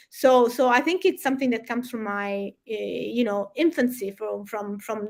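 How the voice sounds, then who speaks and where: A woman's high-pitched voice with a Sicilian accent and ordinary pitch variation. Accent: Italian (Sicilian) accent in English. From Sicily, southern Italy. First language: Italian. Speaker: environmental campaigner. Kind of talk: interview. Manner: halting, many repetitions and fillers.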